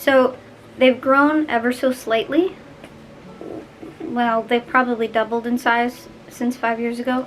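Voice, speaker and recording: At a fairly slow pace and high pitch, a woman talks with fairly even intonation and long, frequent pauses. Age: young. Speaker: vlogger. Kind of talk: personal vlog. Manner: casual, chatty.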